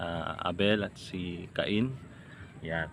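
A man's voice with a very deep, low pitch. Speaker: lay preacher vlogger. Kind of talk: informal devotional talk. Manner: casual, hesitant with fillers.

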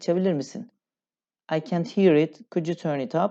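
A woman speaks at a moderate pace with a dark, mellow tone and lively intonation. The background is quiet. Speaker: English teacher. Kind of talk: tutorial.

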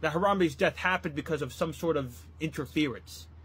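An American accent with ordinary pitch variation. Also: man. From US Midwest (Ohio). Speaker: comedy youtuber. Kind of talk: comedic storytelling monologue. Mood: mock-earnest, grieving tone. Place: home room. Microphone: phone near.

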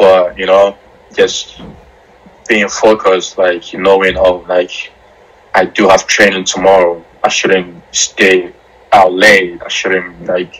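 A man speaks very slowly with an American accent, his pitch very deep and low. His intonation is monotone and flat, broken by long, frequent pauses. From Ghana (Accra); Ghana. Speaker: professional soccer goalkeeper; interviewee. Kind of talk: interview. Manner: casual, many fillers. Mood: relaxed, laughing. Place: home room. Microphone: video call.

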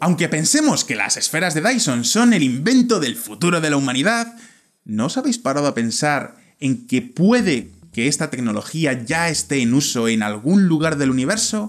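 Against a quiet background, a man with a fairly high pitch makes very wide pitch swings. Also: moderate pace. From Spain, Valladolid; Spain. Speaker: video presenter; presenter. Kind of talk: scripted narration. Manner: animated. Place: studio. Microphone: studio mic.

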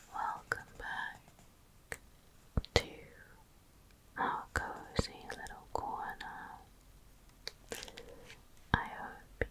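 Whispering, a woman speaks at a very slow pace. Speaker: ASMR creator. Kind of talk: ASMR crossword video, close whispering. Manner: close whispered, soft, slow, hesitant. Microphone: studio mic.

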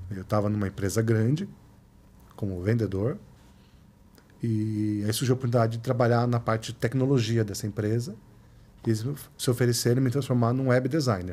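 Fairly quick overall yet broken by long, frequent pauses, a man's dark, mellow voice keeps a fairly even intonation. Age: 40s. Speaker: photographer and researcher; podcast guest. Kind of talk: casual interview. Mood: relaxed, reflective. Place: studio. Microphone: studio mic.

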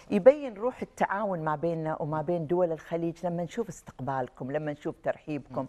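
Speaking at a fairly quick pace with hardly any pauses, a woman uses lively intonation and a dark, mellow tone at a fairly low pitch. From Kuwait. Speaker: writer; guest. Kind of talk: TV talk show interview. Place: studio.

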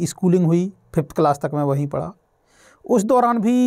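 Against a quiet background, a man speaks with a high pitch. He moves at a fairly slow pace with ordinary pitch variation. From Madhya Pradesh, Shivpuri district (rural); Madhya Pradesh. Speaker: author and mentor, motivational speaker; motivational speaker. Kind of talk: motivational talk. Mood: calm, earnest, motivational. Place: studio. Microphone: lapel.

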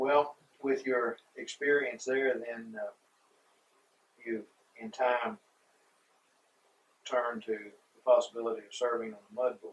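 A man speaks at a fairly slow pace in a medium pitch, his voice carrying a slightly husky edge, little pitch movement, and long, frequent pauses.

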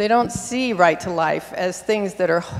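Speaking fairly slowly in an American accent, a woman at medium pitch has a plain, everyday voice with ordinary pitch variation. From US Pacific Northwest. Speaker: audience member. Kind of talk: audience question. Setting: stage with audience. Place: hall.

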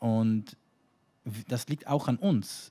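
A man speaks in a fairly low pitch. His tone is dark and mellow. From New York, ultra-Orthodox community. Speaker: rabbi. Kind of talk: panel discussion. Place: stage. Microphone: handheld.

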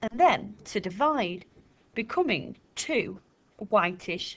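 A natural reading voice is heard. It goes through the text.

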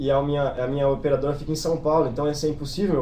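A man speaks at a very fast pace with a Brazilian accent. His pitch is fairly high. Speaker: exchange student. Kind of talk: informational webinar.

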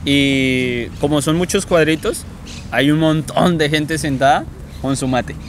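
Speaking at a very slow pace with a Colombian accent, a fairly high-pitched man keeps fairly even intonation, the sound dry with no echo and light background noise. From Colombia, Meta department. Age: 20s. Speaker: university student. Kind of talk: interview. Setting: outdoors in a park. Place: forest.

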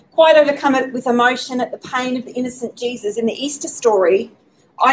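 With an Australian accent, a high-pitched woman speaks at a fairly quick pace with ordinary pitch variation over light background noise. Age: 40s. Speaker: speaker at faith talk event. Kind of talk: prepared talk. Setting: pub with live audience, streamed. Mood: gentle, reflective. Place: hall. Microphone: podium.

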